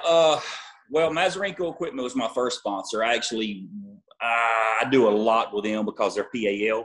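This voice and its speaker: A man talks at a moderate pace with ordinary pitch variation against a quiet background. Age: 40s. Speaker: arm wrestler; interview guest. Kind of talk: casual interview. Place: home room. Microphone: video call.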